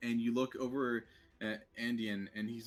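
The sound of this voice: An unforced reading voice comes through. Its intonation holds fairly even.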